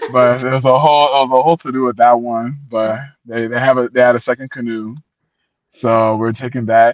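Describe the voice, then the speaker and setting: Someone with an American accent talks at a fairly quick pace in an animated tone. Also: man. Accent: American accent, noticed by Liberian kids. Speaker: traveller to ancestral homeland, Liberian heritage. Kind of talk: casual interview chat. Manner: loud.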